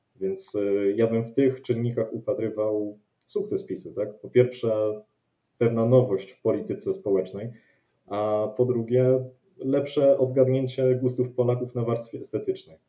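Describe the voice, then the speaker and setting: A man talks at a fairly slow pace in a dark, mellow tone, his loudness swinging widely and his pitch varying in an ordinary way. The background is quiet, but room echo is audible. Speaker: political commentator. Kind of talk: panel discussion. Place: home room. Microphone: video call.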